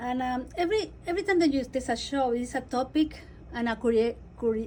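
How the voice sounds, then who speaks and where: A very fast, high-pitched woman's voice in a Spanish accent, with a dark, mellow tone and ordinary pitch variation. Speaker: radio host. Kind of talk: interview. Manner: enthusiastic.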